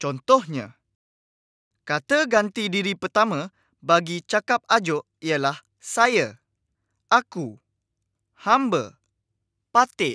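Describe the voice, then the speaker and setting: In a dry, close sound with no echo, a man projects a raised, high voice with a bright, sharp tone, speaking very slowly with very wide pitch swings and long, frequent pauses. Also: very clean recording, silent background. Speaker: educational video presenter. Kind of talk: lecture. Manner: friendly, addressing young students.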